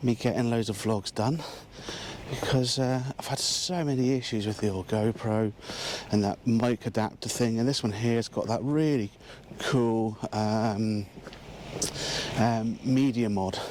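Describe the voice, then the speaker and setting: A man with an English accent talks at medium pitch and a fairly slow pace, his intonation fairly even. He leaves long, frequent pauses against noticeable background noise. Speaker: landscape photographer. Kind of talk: vlog narration. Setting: outdoors.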